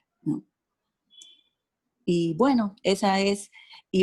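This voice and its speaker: A woman speaks at a very slow pace. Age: 60s. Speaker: participant. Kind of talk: audience question.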